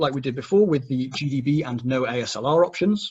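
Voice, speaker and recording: A somewhat breathy man talks at a fairly quick pace in a fairly high voice with ordinary pitch variation. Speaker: security trainer. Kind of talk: technical workshop. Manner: fast.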